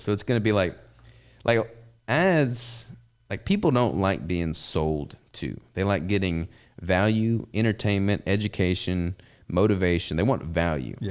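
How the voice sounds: A man with a Southern US accent speaks fairly slowly at a fairly low pitch with lively intonation. The recording is very clean, with a silent background. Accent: Southern American.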